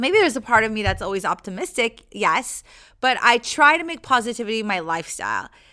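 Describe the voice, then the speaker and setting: Fairly quick speech from a woman, fairly high-pitched with very wide pitch swings and a bright, sharp tone, on a very clean recording with a silent background. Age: 30s. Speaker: podcast host. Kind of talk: motivational monologue. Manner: casual, upbeat.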